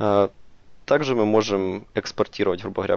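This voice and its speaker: Moderately paced speech from a man, fairly low in pitch, with ordinary pitch variation. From Ukraine, Dnipro. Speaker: software developer. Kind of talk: conference tech talk. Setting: stage with audience. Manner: halting, many filler words.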